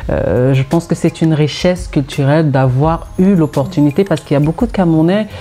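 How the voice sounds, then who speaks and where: Over music in the background, a woman speaks at a fairly quick pace with hardly any pauses, a very deep, low pitch, ordinary pitch variation and very even loudness. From Cameroon (Douala and the west). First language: Bakaka (speaking French). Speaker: singer-songwriter. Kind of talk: interview.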